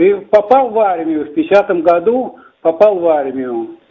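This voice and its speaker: Pitch leaping across a very wide range, a man talks in a high register. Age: 80s+. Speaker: weightlifting coach; war veteran. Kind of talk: interview. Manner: halting.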